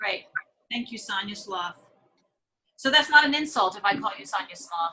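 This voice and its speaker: Her medium-pitched voice is bright and sharp, as the woman speaks at a moderate pace with very wide pitch swings. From East Tennessee, Knoxville. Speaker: social work professor. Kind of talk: online class session. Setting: video call.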